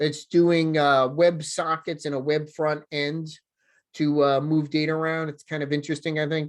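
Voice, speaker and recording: In a New Jersey accent, a man with a fairly high pitch talks at a moderate pace against a quiet background. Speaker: software developer advocate. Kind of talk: conference talk. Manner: casual, filler-heavy.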